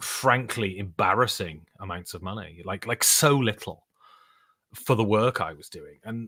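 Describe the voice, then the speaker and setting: A man with a British accent speaks with ordinary pitch variation on a very clean recording with a silent background. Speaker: board game podcaster and voice actor. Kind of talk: live stream chat. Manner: casual, rambling with fillers.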